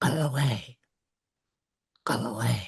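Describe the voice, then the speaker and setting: A raspy, hissing put-on character voice sits at a low-to-middle pitch. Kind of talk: commanding.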